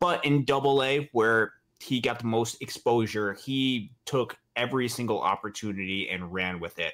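A man with an unremarkable speaking voice, medium-pitched, at a moderate pace with ordinary pitch variation, on a very clean recording with a silent background. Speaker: baseball podcast co-host. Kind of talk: casual sports talk show.

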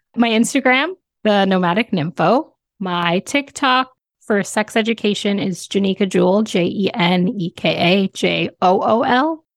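Heard dry and close with no echo, an ordinary speaking voice moves at a fairly slow pace with ordinary pitch variation. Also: woman, medium pitch for a woman. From Canada. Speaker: sex educator and travel content creator. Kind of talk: casual interview chat. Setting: remote recording from home.

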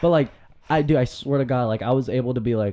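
With an ordinary speaking voice, a man speaks at a fairly quick pace and ordinary pitch variation. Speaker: recent college graduate. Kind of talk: casual chat.

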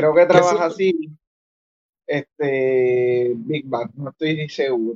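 A man with a Puerto Rican accent speaks very slowly in a fairly high pitch, his intonation lively. His loudness swings widely, and the sound is dry and close with no echo. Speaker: toy collector. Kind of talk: casual chat.

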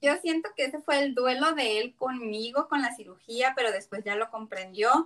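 Pitched high, a woman speaks at a moderate pace with ordinary pitch variation and hardly any pauses. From Mexico, Tijuana. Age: 30s. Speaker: taco business owner, bariatric patient. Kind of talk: casual interview. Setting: remote call.

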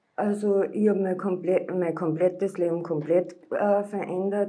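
Monotone and flat, a woman speaks at a medium pitch and a fairly slow pace. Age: 40s. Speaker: former drug addict. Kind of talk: interview testimony.

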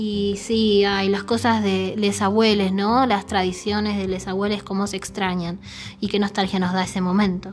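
Speaking in a Rioplatense accent, a woman keeps a monotone, flat intonation at a medium pitch and a moderate pace. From Argentina, Buenos Aires (Saavedra). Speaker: podcast host. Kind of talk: casual chat.

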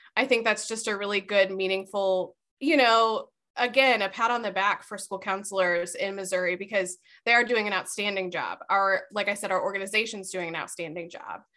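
Against a quiet background, a woman talks in a bright, sharp tone. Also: medium pitch for a woman, fairly quick pace. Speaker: school counselor. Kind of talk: casual interview chat.

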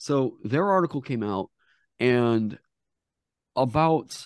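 Lively intonation marks a man's speech. The sound is dry and close with no echo, over a quiet background. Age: 30s. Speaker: tabletop game designer and streamer. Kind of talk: casual interview.

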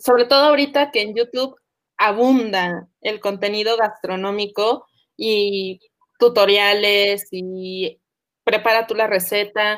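A woman's fairly high voice, very slow, with fairly even intonation. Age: 30s. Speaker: podcast host. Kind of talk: casual chat.

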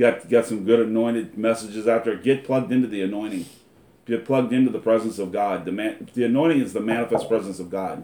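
A man rattles along very fast at a medium pitch, holding his intonation fairly even. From US Midwest, Lima, Ohio. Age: 40s. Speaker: internet ministry broadcaster. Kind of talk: religious exhortation; testimony.

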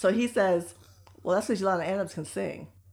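A woman with an American accent speaks at a medium pitch with vocal fry. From United States. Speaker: podcast co-host. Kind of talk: casual chat.

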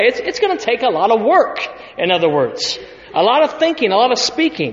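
A man with an American accent talks at a fairly quick pace, his extremely high pitch swinging very widely. Noticeable background noise sits behind him. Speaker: pastor. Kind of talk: sermon. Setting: church.

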